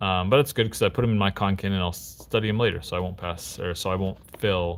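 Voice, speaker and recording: With a very deep, low pitch, a man talks in fairly even intonation with hardly any pauses. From US, Utah (Salt Lake City). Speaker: Japanese learning channel host, live streamer. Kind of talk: live stream, casual study session and chat reading. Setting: live stream. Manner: casual, hesitant with fillers.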